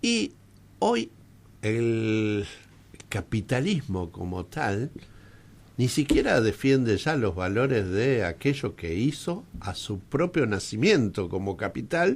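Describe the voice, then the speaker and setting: Very slowly and with lively intonation, a man speaks at a medium pitch. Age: 60s. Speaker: radio host. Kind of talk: radio interview. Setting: radio studio.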